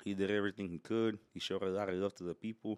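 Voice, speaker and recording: A plain, everyday voice from a man with an American accent, fairly low in pitch, dry and close with no echo, on a very clean recording with a silent background. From Houston, Texas (Mexican family). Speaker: truck scene brand owner. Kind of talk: casual chat.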